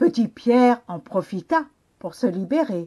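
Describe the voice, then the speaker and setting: A woman with a high pitch and lively intonation speaks in a dark, mellow tone against a quiet background. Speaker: children's librarian. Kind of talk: storybook narration for children.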